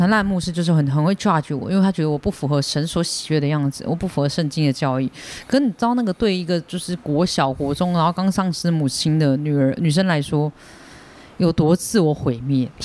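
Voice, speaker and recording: At a fairly quick pace, a man with a plain, everyday voice speaks at a fairly high pitch with ordinary pitch variation. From Taiwan. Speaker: stand-up comedian. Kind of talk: casual chat.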